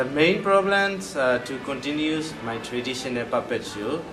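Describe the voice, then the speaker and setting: A man speaks with lively intonation, with audible room echo and noticeable background noise around him. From Myanmar. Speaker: puppet theater director. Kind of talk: interview. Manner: halting.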